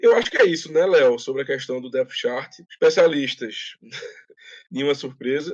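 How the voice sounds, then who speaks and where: A man speaks at a moderate pace with lively intonation and a slight Pernambuco accent. The background is quiet. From Pernambuco, Brazil. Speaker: sports podcast host. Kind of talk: casual podcast chat. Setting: live-streamed podcast.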